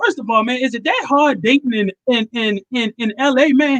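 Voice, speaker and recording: A man talks at a moderate pace with a Baltimore accent. The sound is dry and close, with no echo. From Baltimore, Maryland. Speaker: comedian and show host. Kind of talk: casual interview chat.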